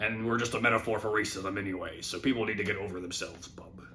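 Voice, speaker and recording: A man puts on a gravelly character voice, pitched fairly low, at a very fast pace. Clear background noise runs behind him. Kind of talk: casual.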